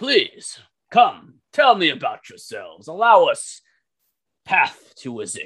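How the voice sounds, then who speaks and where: Using a put-on character voice, a man pitches himself extremely high. His delivery is fairly slow. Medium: actual play. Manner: authoritative, courteous.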